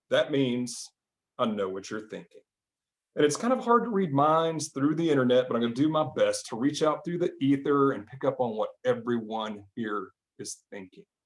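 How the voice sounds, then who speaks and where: A man with a Southern US accent, fairly high-pitched, at a moderate pace, with very wide pitch swings and big swings in loudness. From US South, Arkansas. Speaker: mentalist magician. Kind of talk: comedic stage patter. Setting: online video call show from home. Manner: animated.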